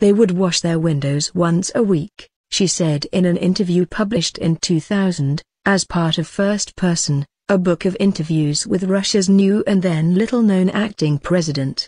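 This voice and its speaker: A woman with a somewhat breathy, dark, mellow tone speaks at a moderate pace and a medium pitch, with ordinary pitch variation. Her loudness stays very even, and the sound is dry and close with no echo. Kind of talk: history documentary narration. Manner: measured, grave storytelling pace; formal, clear, and authoritative.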